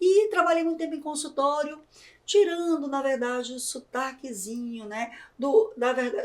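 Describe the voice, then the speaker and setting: Speaking with a northeastern Brazilian accent, a woman uses a high pitch, a dark, mellow tone and lively intonation. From Brazilian Northeast. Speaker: podcast host and journalist. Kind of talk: interview podcast. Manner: animated.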